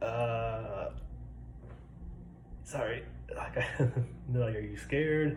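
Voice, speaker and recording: Over noticeable background noise, a man speaks very slowly with long, frequent pauses. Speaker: military service member. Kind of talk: casual talk to camera.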